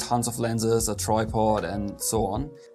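Clear music plays behind a man while he talks. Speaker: photographer vlogger. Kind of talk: casual vlog chat. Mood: relaxed storytelling, some laughs. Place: studio.

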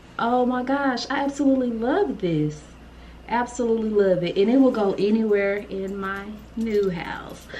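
Over light background noise, a woman talks at a moderate pace with lively intonation. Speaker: lifestyle vlogger. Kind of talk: casual vlog chat. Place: home room.

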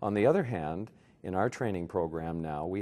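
A man with a Canadian accent and a very deep, low pitch, in a dark, mellow tone at a moderate pace. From Canada, Toronto. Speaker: neurology professor. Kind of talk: interview. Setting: medical conference. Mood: calm, reflective. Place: hall.

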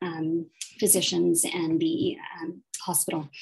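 A woman speaks with a Canadian accent in a fairly low voice. Her tone is dark and mellow, with a quiet background. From Nova Scotia, Canada. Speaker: family physician, department chief. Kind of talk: panel discussion. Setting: video call. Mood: warm, reflective. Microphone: video call.

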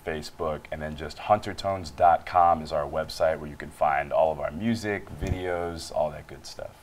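Very deep and low, a man's voice carries an American accent at a moderate pace with a fairly even intonation and hardly any pauses. His loudness swings a lot, over light background noise. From United States. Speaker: touring band musician; guest. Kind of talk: interview. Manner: hesitant, filler-heavy. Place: studio. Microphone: lapel.

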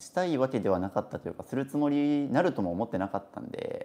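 A man with a fairly high pitch talks at a very fast pace, his pitch swinging very widely. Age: 20s. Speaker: minimalist YouTuber. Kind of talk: casual live stream talk. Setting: hotel room in Okinawa. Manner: animated. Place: home room. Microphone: camera far.

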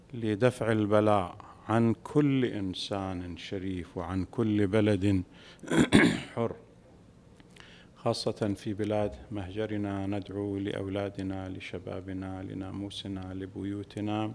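Speaking at a very slow pace, a man keeps a monotone, flat intonation. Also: fairly low pitch for a man. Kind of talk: sermon. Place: hall. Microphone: podium.

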